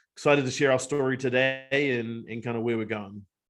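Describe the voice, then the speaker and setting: Against a quiet background, a man speaks with a New Zealand accent. He keeps a moderate pace and fairly even intonation. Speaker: company co-founder. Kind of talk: webinar discussion. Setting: video webinar.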